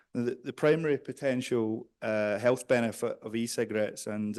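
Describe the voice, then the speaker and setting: A man with a Scottish accent speaks at a medium pitch against a quiet background. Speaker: behavioral psychologist and researcher. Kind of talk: conference presentation. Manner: hesitant, many fillers.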